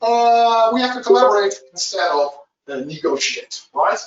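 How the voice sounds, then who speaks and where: A man is speaking. His pace is fairly slow. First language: Dutch. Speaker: agile trainer. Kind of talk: webinar presentation. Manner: halting, many fillers.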